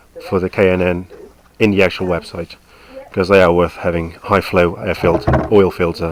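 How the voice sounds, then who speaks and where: Noticeable background noise runs under a man's voice. His intonation is monotone and flat, at a moderate pace. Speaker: motorcycle owner, home mechanic. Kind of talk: casual how-to commentary over video. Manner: casual, hesitant.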